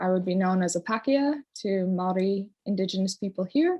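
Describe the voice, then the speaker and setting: This woman speaks with a Newfoundland accent. Her pitch varies in an ordinary way. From Newfoundland, Canada. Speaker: community development practitioner. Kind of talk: personal sharing in a online conference session. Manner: hesitant, many fillers.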